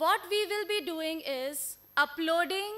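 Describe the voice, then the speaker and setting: At a very slow pace, a raised, projected voice carries a bright, sharp tone. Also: woman. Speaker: presenter. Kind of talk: conference presentation. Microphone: podium.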